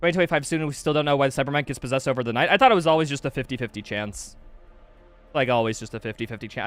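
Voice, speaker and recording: Very fast, animated male speech at medium pitch, with an American accent and music in the background. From US Midwest, Wisconsin. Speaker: video game streamer. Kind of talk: live gameplay stream chat. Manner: casual, animated.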